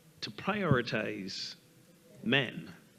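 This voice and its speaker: A man has a medium pitch and a bright, sharp tone. He speaks with a slight Barbadian accent. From Barbados. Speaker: minister, panelist. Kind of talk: panel discussion.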